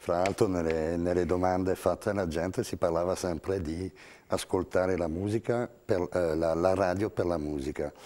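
A man speaks with a very deep, low pitch and a dark, mellow tone. His intonation is fairly even and his pace moderate. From France. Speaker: radio music director; radio guest. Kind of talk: TV panel discussion. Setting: TV studio. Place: studio. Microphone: lapel.

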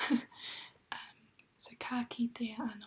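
Whispering, the speaker stays soft-spoken. The tone is calm. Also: woman. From New Zealand. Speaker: ASMR creator. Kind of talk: ASMR language lesson. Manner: soft-spoken, whispery, calm.

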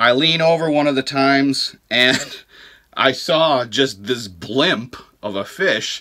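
His bright, sharp tone sits at a medium pitch as the man speaks.

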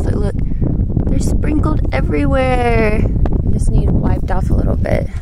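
The sound is dry with no echo, but loud background noise is present. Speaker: nature vlogger. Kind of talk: casual vlog chat. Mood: excited, awed. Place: open country. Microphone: phone near.

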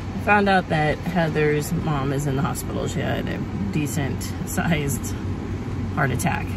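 Loud background noise surrounds a woman speaking at a fairly slow pace. The sound is dry, with no echo. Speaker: family vlogger. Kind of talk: casual vlog chat. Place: car. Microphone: phone near.

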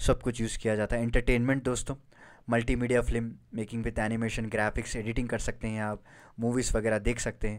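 The recording is very clean, with a silent background. A man speaks at a medium pitch with monotone, flat intonation. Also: moderate pace. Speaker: online exam-prep educator. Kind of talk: lecture.

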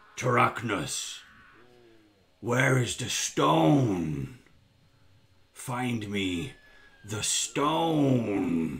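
A raspy, put-on character voice moves at a very slow pace, broken by long, frequent pauses. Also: man, medium pitch for a man. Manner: commanding, demanding.

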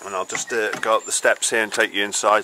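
A man speaks at a fairly quick pace, the sound dry with no echo but carrying noticeable background noise. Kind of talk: casual vlog chat. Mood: cheerful, relaxed. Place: street. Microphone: phone near.

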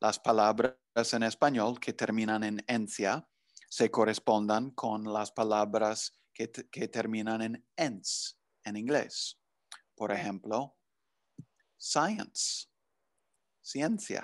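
With an English accent, a man talks at a very slow pace with long, frequent pauses and fairly even intonation against a quiet background. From US Northeast, New Jersey. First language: English (speaking Spanish). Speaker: language professor. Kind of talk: interview. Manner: halting, many fillers. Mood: friendly, relaxed. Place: home room. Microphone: video call.

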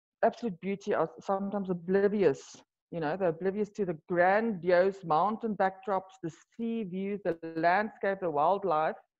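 At a moderate pace, a woman speaks with a fairly low pitch, ordinary pitch variation and a slightly mellow tone.

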